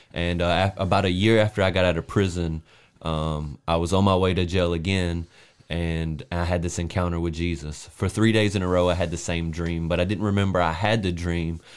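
Fairly quick delivery in a Southern US accent, monotone and flat, over a very clean recording with a silent background. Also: man. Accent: Southern American. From US South, South Carolina. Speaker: podcast co-host, preacher. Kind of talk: casual chat; testimony.

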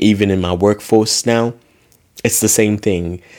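A man in a relaxed tone at a moderate pace. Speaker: faith podcast host. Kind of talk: personal reflection monologue. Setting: solo recording. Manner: relaxed, casual.

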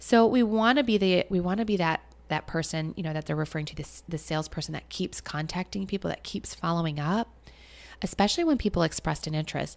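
Speaking at a very fast pace, a woman uses an animated tone, a fairly low pitch and ordinary pitch variation. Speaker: podcast host and former financial advisor business coach. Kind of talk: solo podcast monologue. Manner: coughs and sniffles.

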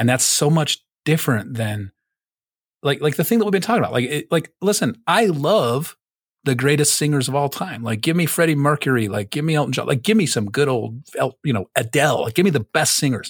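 A somewhat breathy, fairly high-pitched man with lively intonation, in a dry, close sound with no echo and a very clean recording over a silent background. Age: 40s. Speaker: podcast host. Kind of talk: casual chat, storytelling podcast. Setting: studio, wearing headphones. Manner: casual, profane, jokey.

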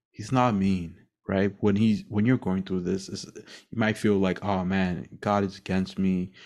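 In a very clean recording with a silent background, a man speaks in a very deep, low voice with monotone, flat intonation. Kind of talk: solo devotional monologue. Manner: halting, stumbling over words.

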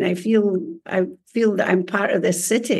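Fairly slow delivery with ordinary pitch variation. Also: woman. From Scotland. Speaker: book coach and writer. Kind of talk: casual interview.

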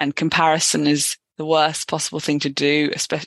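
Dry and close with no echo, a woman's very deep, low voice moves at a fairly quick pace. Her intonation is monotone and flat. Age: 20s. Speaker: road accident survivor. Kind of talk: interview testimony. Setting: podcast interview.

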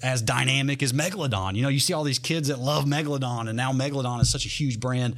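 Noticeable background noise accompanies a man with a Southern US accent. He speaks at a very fast pace with medium pitch and fairly even intonation. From North Carolina. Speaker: monster truck driver. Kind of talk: casual interview. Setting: studio.

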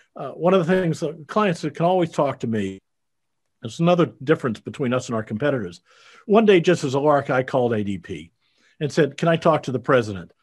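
A man speaks with an American accent at a very fast pace and fairly high pitch. His pitch swings very widely against a quiet background. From US Midwest, Iowa. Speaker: payroll business owner. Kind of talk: interview. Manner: halting, frequent uh fillers.

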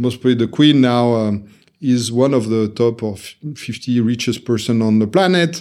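In a French accent, a man at a medium pitch talks at a moderate pace with ordinary pitch variation, on a very clean recording with a silent background. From France, Paris area. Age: 50s. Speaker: serial entrepreneur. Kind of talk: casual interview. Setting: in-person studio recording.

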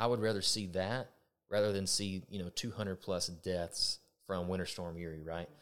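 Someone with a Texan accent speaks at a moderate pace in a very clean recording with a silent background. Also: man. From Texas. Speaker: electric co-op vice president of member services. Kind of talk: casual chat.

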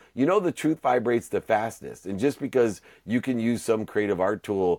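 In an American accent, a man talks in a plain, everyday voice at a moderate pace with lively intonation, on a very clean recording with a silent background and a dry, close sound with no echo. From Ohio, US Midwest. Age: 50s. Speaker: entrepreneur and motivational speaker. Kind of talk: podcast interview.

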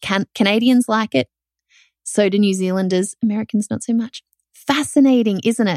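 Someone talks in an animated tone with an Australian accent. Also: woman, fairly high pitch for a woman, ordinary pitch variation, moderate pace, dry, close sound with no echo. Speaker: podcast host, online business owner. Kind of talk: solo podcast monologue, casual and conversational. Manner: animated, conversational.

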